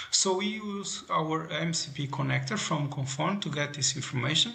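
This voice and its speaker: A man speaks at a fairly high pitch with ordinary pitch variation. There is noticeable background noise and audible room echo. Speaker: telecom product presenter. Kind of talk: product demo narration.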